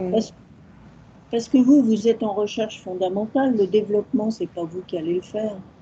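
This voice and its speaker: Fairly high-pitched, somewhat breathy woman's voice with a dark, mellow tone, ordinary pitch variation, a fairly quick pace, and long, frequent pauses. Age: 70s. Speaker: audience member asking questions. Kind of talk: audience question. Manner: hesitant.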